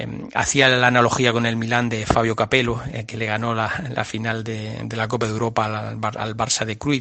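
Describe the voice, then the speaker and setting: A man with a Murcian accent speaks at medium pitch and a moderate pace with vocal fry, flat monotone intonation and hardly any pauses. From Murcia, Spain. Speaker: biologist. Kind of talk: radio interview. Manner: halting, many fillers.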